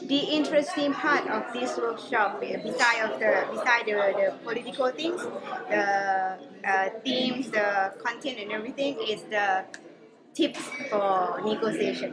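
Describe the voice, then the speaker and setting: Loud background noise runs under a woman speaking at a fairly slow pace. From Laos. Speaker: climate negotiator. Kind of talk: interview answer. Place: meeting room.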